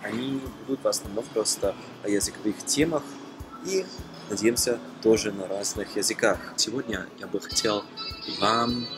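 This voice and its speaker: A man with a non-native accent speaks at medium pitch and a fairly slow pace. Music plays in the background. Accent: foreign accent in Russian. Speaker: language learner, polyglot vlogger. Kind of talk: casual talk to camera. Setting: shopping mall. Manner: hesitant, many filler sounds.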